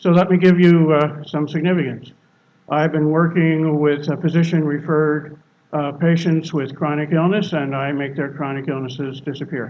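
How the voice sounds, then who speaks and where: The man's fairly high voice keeps a monotone, flat intonation. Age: 70s. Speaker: guest speaker at a spiritual service. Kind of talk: sermon.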